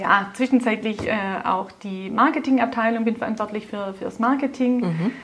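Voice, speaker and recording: A woman's fairly high voice moves at a moderate pace with fairly even intonation while noticeable background noise runs behind her. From Swabia, Germany. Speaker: car dealership group executive. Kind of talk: interview. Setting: in person at a car dealership.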